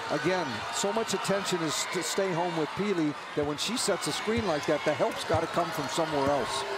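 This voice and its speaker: Over noticeable background noise, a man with a high voice speaks in a relaxed tone at a fairly quick pace with ordinary pitch variation. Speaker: color analyst. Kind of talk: live sports commentary. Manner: relaxed, conversational analysis with occasional dry humor.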